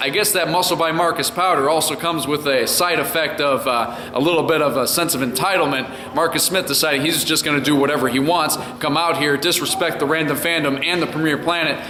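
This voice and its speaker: A man talks at a fairly quick pace in a fairly high, energetic voice. There is noticeable background noise. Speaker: wrestling ring announcer. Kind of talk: wrestling event recap to camera. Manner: energetic, hyped.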